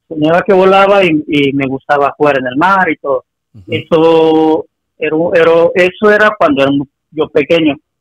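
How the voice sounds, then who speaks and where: In a dry, close recording with no echo, a man with an unremarkable speaking voice talks at a moderate pace and fairly high pitch with ordinary pitch variation. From Acapulco, Mexico. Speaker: caller. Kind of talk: phone-in story telling.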